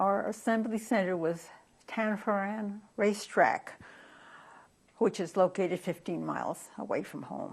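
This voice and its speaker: A woman with an American accent speaks at a fairly slow pace, medium in pitch with ordinary variation and vocal fry. The background is quiet. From California, USA. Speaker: former Japanese American incarceree. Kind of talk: oral history interview answer.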